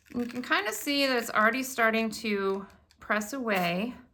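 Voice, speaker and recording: A woman speaks at a moderate pace in a fairly high pitch, her tone animated and her pitch varying in an ordinary way over noticeable background noise. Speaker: crafting video host. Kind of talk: tutorial. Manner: loud.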